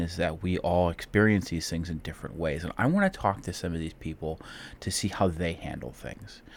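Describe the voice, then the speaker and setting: At a fairly quick pace, a man with a Midwestern American accent talks in a very deep, low pitch, captured in a very clean recording with a silent background. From Ohio, Cleveland. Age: 30s. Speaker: podcast host. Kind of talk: solo monologue. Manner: halting.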